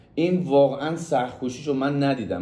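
In a dark, mellow tone, a man speaks with ordinary pitch variation. His pace is fairly quick. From Mazandaran, northern Iran. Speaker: friend giving a tribute. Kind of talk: casual testimonial. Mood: warm, admiring. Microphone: phone near.

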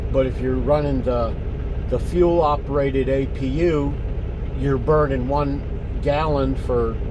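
Amid noticeable background noise, a man speaks at a fairly slow pace. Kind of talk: casual vlog chat. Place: car. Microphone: phone near.

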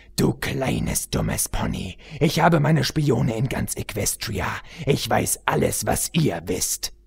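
A man puts on a character voice at medium pitch and a slow pace, with big pitch swings, a slightly mellow tone, a husky, rough edge and vocal fry.

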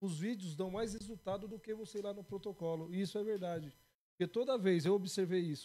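A man's high-pitched voice, dark and mellow in tone, at a fairly quick pace. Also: ordinary pitch variation. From Brazil, Ferraz de Vasconcelos (São Paulo area); São Paulo, Brazil. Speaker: podcast co-host. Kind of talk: casual interview. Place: studio. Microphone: studio mic.

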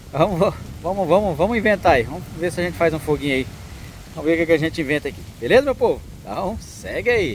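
With noticeable background noise, a man races along at a very fast pace, his high voice full of lively intonation. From Mato Grosso do Sul, Brazil. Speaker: travel and camping vlogger. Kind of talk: vlog narration to camera. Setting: outdoors at a beach. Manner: animated.

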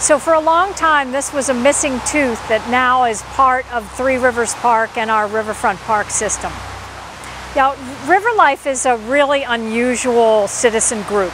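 Noticeable background noise sits behind a woman with a high pitch. She talks at a fairly slow pace, and the sound is dry with no echo. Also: ordinary pitch variation. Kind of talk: interview answer. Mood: warm, enthusiastic. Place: street. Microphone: lapel.

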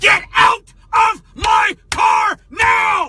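A man shouts in a cartoonish character voice pitched extremely high. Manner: angry, shouting, profane.

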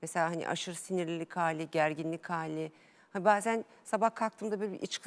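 A woman speaks in an unremarkable speaking voice at a moderate pace with ordinary pitch variation. The recording is very clean with a silent background. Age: 40s. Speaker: amateur tennis player, interview guest. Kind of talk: TV interview.

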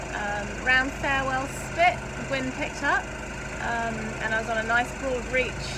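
A woman talks with ordinary pitch variation over loud background noise. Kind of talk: casual vlog chat. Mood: relaxed, content. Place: boat. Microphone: phone near.

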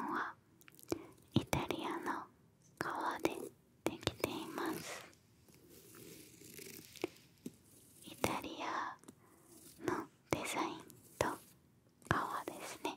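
A woman whispers at a very slow pace, with long, frequent pauses. Her loudness swings a great deal. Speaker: ASMR creator. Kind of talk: ASMR whispered product talk. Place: home room. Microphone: studio mic.

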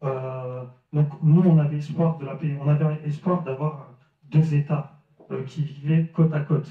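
With a dark, mellow tone and a somewhat breathy quality, a man with a fairly high voice speaks fairly slowly in a flat monotone, his words carrying audible room echo over a quiet background. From France, Lille; France. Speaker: Franco-Palestinian activist speaker; speaker. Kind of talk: public debate talk. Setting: village hall with audience. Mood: earnest, serious. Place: hall. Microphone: handheld.

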